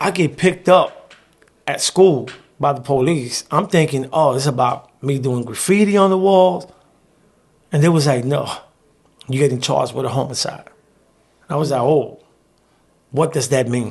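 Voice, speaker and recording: Speaking with a New York accent, a man uses fairly high pitch, ordinary pitch variation and a moderate pace broken by long, frequent pauses. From New York, South Bronx. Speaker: formerly incarcerated journalist. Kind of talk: interview storytelling.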